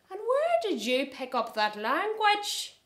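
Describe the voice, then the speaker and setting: In a loud, female-sounding put-on character voice, the high pitch swings very widely at a fairly slow pace. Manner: disapproving, putting on airs in public.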